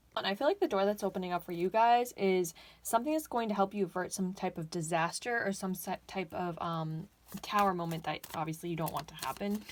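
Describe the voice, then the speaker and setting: A woman's medium-pitched voice, fairly quick, with ordinary pitch variation. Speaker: tarot reader. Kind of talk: pick-a-card tarot reading. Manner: halting, self-correcting; casual, chatty.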